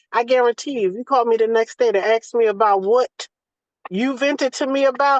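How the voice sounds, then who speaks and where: High-pitched and animated, a woman speaks at a fairly quick pace with ordinary pitch variation in a dry, close sound with no echo. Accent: Southern US. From US South. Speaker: doula. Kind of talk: casual chat. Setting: video call.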